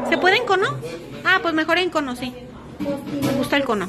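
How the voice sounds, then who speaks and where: A woman's very fast delivery over clear music in the background. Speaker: vlogger. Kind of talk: casual vlog chat.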